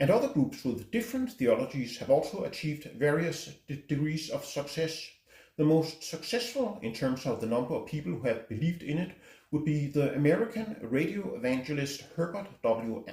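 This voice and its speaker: Speaking with a Danish accent, a man with a fairly high pitch and a dark, mellow tone moves at a moderate pace with very wide pitch swings. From Denmark. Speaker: book reviewer. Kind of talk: book review talk.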